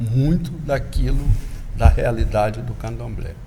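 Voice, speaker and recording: There is noticeable background noise and audible room echo as a man speaks at a fairly slow pace. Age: 60s. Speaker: candomblé religious elder. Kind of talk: interview. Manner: halting, with repetitions.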